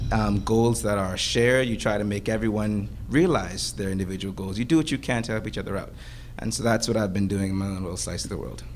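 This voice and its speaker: A man with a fairly low pitch, talking at a very fast pace amid audible room echo. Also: ordinary pitch variation. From Bahamas. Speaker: student panelist. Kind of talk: panel discussion. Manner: halting.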